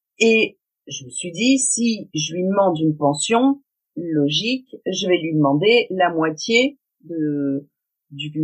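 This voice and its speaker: A woman's fairly low voice with very wide pitch swings. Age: 40s. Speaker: self-employed cleaner and web entrepreneur, single mother. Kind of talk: testimony.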